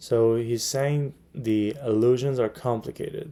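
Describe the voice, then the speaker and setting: A man with a non-native accent speaks at a fairly slow pace. His medium-pitched voice has a dark, mellow tone. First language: not English. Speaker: MCAT tutor. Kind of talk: tutorial. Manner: hesitant, many fillers.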